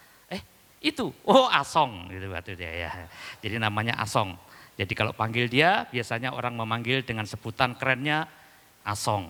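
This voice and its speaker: Bright and sharp in tone, a man's medium-pitched voice moves at a moderate pace with lively intonation. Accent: Javanese. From East Java, Indonesia (Dayak from Central Kalimantan). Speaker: pastor. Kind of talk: sermon. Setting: church.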